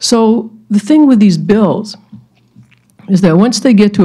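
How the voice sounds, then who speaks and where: A woman's somewhat breathy, dark, mellow voice at a fairly slow pace, with ordinary pitch variation and a quiet background. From Maine, Penobscot Nation; Maine. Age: old. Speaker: lecture speaker. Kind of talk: lecture. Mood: calm, reflective. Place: hall. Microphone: podium.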